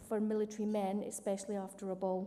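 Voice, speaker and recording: Talking at a fairly quick pace, a woman with a Scottish accent has a fairly high pitch and a monotone, flat intonation. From Scotland. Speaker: military officer, award winner. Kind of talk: award acceptance speech.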